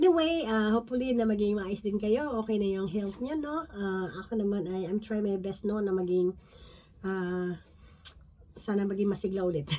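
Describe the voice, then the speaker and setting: A woman speaks at a moderate pace with a medium pitch. Her tone is dark and mellow. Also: ordinary pitch variation. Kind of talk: Bible study talk. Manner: halting.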